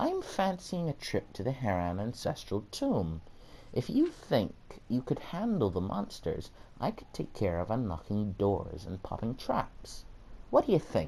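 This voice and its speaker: A man performs in a put-on character voice. Clear background noise can be heard. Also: moderate pace. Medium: read story. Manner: breezy, confident.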